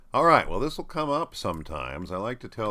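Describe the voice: A man speaks at a fairly quick pace with a fairly bright tone.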